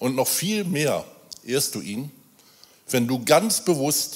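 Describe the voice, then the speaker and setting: The voice moves through very wide pitch swings. Its pace is very slow. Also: man. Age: 50s. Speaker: church volunteer. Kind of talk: sermon. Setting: church.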